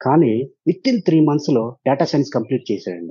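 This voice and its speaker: A man's normal speaking voice with lively intonation. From Andhra Pradesh, Guntur district (Tenali). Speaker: software professional and parent. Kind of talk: interview. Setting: virtual studio.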